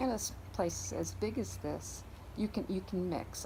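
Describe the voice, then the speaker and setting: A woman with an American accent talks at a moderate pace, with audible room echo around her. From upstate New York (Syracuse area). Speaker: garden owner. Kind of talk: interview. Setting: outdoors in a garden. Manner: halting, with many repeats and fillers.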